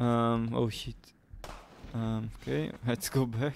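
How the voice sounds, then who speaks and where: The man's pitch falls in the medium range. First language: Portuguese. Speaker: gaming streamer. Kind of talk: live gameplay commentary.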